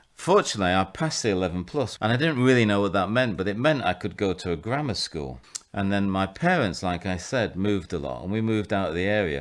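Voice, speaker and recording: Speaking very fast with hardly any pauses, a man with a Mancunian accent uses a fairly low pitch and lively intonation. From northern England, Salford/Manchester. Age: 60s. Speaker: vicar and rehabilitation director. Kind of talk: interview, personal testimony. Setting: at his home.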